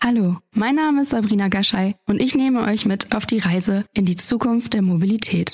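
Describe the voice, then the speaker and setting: A woman with a plain, everyday voice, fairly high pitch, ordinary pitch variation, very even loudness, hardly any pauses and a moderate pace, in a dry, close sound with no echo. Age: 30s. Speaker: podcast host. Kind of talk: scripted intro.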